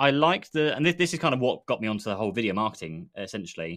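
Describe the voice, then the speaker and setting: The voice has a bright, sharp tone and an English accent, with very wide pitch swings. The background is quiet. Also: man. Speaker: podcast co-host, IT business owner. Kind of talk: casual chat, live stream. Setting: live stream video call.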